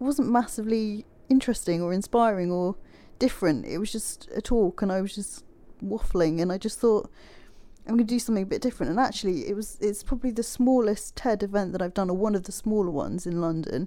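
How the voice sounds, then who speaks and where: A woman in an English accent, fairly high-pitched with a dark, mellow tone, ordinary pitch variation, and a very fast pace. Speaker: designer and health advocate. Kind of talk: interview. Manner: clear enunciation.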